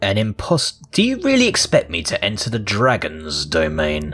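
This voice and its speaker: A man puts on a character voice with a fairly low pitch at a moderate pace. Faint music plays in the background. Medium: game stream.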